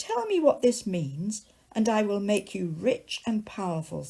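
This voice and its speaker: A woman's croaky put-on character voice at a medium pitch and moderate pace, lively in intonation. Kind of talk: bedtime story. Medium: read story.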